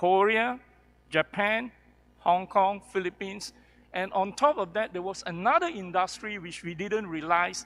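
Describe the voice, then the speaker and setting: This man speaks at a moderate pace in a high pitch. His pitch variation is ordinary, while his loudness swings widely. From Kuala Lumpur, Malaysia. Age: 60s. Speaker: professor and healthcare entrepreneur. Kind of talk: panel discussion.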